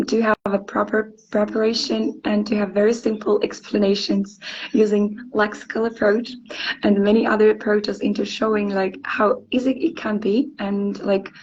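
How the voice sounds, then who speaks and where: A woman with a Ukrainian accent speaks at medium pitch and a fairly slow pace. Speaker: English teacher. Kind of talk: interview. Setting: live stream. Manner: hesitant, many fillers.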